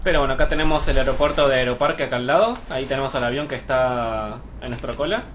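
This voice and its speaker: Audible room echo and noticeable background noise surround the voice. A man rushes through his words very fast. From Argentina, Mar del Plata. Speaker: gaming YouTuber. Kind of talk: gameplay commentary. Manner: hesitant, many fillers.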